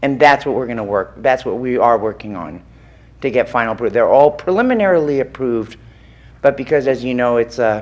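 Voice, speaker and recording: This woman's voice sits very deep and low, with lively intonation. She talks at a fairly quick pace. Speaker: architect / design consultant. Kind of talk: public meeting presentation. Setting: public board meeting with microphone.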